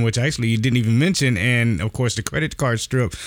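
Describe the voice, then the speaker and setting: This man has an unremarkable speaking voice. It sits at a medium pitch with ordinary pitch variation. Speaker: podcast host.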